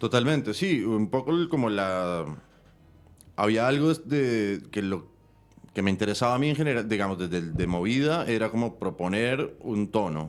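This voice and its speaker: A man talks at a moderate pace and medium pitch. His intonation is lively while his loudness stays very even. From Colombia. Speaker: film director and screenwriter. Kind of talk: interview. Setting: studio. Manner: halting, many fillers.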